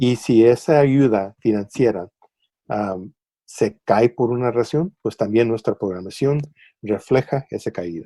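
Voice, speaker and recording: At a fairly slow pace, a man with medium pitch and a dark, mellow tone speaks with ordinary pitch variation in a dry, close sound with no echo. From US, raised in California border area after leaving Tijuana at eight. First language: English dominant, Spanish heritage (speaking Spanish). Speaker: public broadcaster editor, interview guest. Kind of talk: interview. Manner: halting, many fillers and repetitions.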